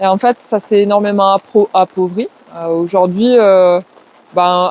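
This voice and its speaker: In a slight southwestern French accent, a woman speaks at a moderate pace in a medium pitch with monotone, flat intonation, the sound dry and close with no echo. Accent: slight southwest French. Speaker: forest garden trainer and community ecology worker. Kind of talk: interview. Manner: hesitant, many filler words.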